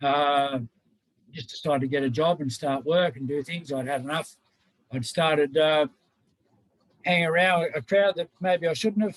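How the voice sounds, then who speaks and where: At a moderate pace and a fairly high pitch, a man speaks with ordinary pitch variation and long, frequent pauses, in a dry, close sound with no echo. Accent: Australian. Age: 60s. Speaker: mature-age enabling student. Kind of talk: panel testimony. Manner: halting, many fillers.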